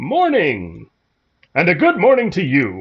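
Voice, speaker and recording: A man speaks in a put-on character voice. His pitch sits high, and he talks at a fairly slow pace. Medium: game stream. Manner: warm, easygoing.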